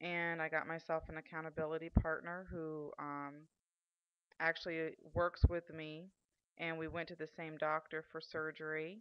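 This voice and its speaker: Speaking at a fairly slow pace, a woman uses a very deep, low pitch and a flat, monotone intonation. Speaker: vlogger. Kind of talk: video diary. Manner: loud; hesitant, many fillers.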